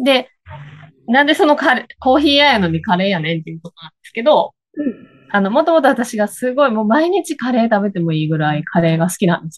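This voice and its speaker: A woman talks at a very fast pace and a fairly high pitch. Her voice shows very wide pitch swings and big swings in loudness, dry and close with no echo. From Higashiosaka, Kansai. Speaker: coffee bean shop owner. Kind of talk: casual chat. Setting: video call.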